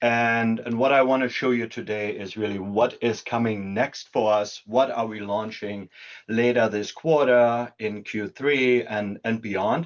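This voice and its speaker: A man with a German accent, medium in pitch, at a fairly slow pace against a quiet background. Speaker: product executive. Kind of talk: webinar presentation.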